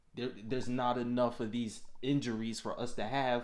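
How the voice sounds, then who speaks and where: A man talks in a mid-range pitch, and the room's echo is audible. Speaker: motivational vlogger. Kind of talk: motivational monologue. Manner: fast; animated.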